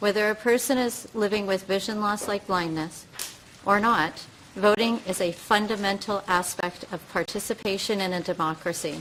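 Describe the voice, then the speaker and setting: A woman's medium-pitched voice with a Canadian accent and fairly even intonation, over noticeable background noise. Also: moderate pace. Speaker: advocate for the blind testifying as witness. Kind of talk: formal testimony read from screen reader. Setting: committee hearing. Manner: halting, repeating text heard in ear; occasional stutters and restarts.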